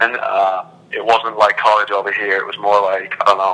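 A man goes along at a moderate speed, with noticeable noise in the background. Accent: English. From England; Milton Keynes, England. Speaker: college soccer player.

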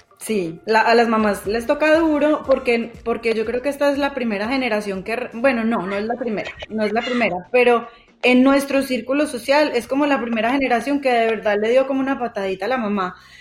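A woman with a Colombian paisa accent talks at a fairly quick pace with hardly any pauses. Her pitch is fairly high, and there is noticeable background noise. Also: ordinary pitch variation. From Colombia, Manizales. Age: 40s. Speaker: podcast co-host, journalist. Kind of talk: casual chat. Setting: remote call over internet.

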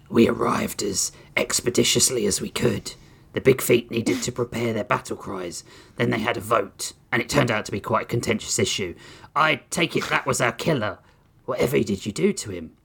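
Growling, a man performs a put-on character voice. He holds a medium pitch and moves at a fairly quick pace. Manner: growling, stern.

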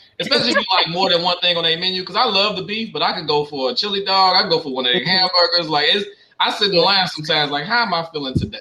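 A man talks very fast in a high pitch, with ordinary pitch variation. There is noticeable background noise. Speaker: podcast panelist. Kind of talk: casual chat. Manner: animated.

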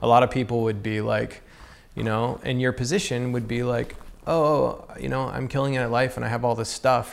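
A man with an American accent and a plain, everyday voice talks fairly quickly at a medium pitch with fairly even intonation. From US South. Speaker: podcast host, skateboarder. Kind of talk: casual interview chat.

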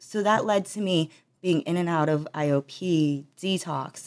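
A normal speaking voice with an American accent and ordinary pitch variation, in a very clean recording with a silent background. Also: woman. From rural northeast Ohio (Trumbull County). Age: 30s. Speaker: patient in addiction recovery. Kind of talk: testimony.

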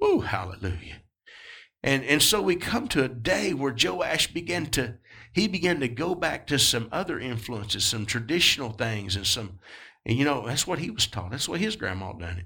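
An American man talks at a medium pitch and moderate pace with a bright, sharp tone. His pitch swings very widely, and the recording is very clean with a silent background. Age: 40s. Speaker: pastor. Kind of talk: sermon. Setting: church. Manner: animated.

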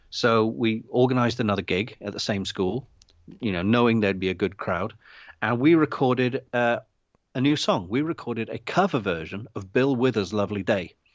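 A man with an unremarkable speaking voice talks at a fairly quick pace, medium pitch and ordinary pitch variation. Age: 50s. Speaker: indie filmmaker. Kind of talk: casual chat. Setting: video call. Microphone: unstable internet connection.

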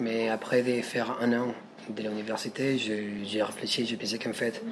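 Over noticeable background noise, a man speaks fairly slowly in a monotone with flat intonation. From Peru, Lima. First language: Spanish (speaking French). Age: 20s. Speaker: street singer. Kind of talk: interview. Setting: café. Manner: halting.

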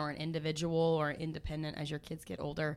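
A woman with an unremarkable speaking voice, a fairly low pitch and a fairly quick pace. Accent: American. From US Midwest. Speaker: family ministry leader. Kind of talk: casual chat.

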